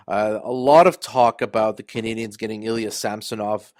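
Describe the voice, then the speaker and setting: On a very clean recording with a silent background, a man with an unremarkable speaking voice and medium pitch talks at a moderate pace. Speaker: podcast host. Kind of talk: casual hockey podcast monologue.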